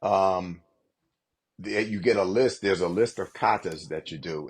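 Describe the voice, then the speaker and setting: Against a quiet background, a man has a normal speaking voice, fairly low in pitch, with ordinary pitch variation and a moderate pace. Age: 60s. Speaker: martial arts master. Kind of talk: podcast interview. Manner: filler-heavy, repetitive.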